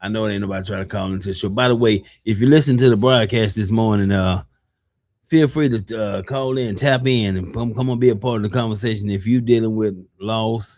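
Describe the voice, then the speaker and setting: Fairly low pitch and fairly even intonation from a man with a plain, everyday voice. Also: fairly quick pace. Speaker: podcast host. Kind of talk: casual chat.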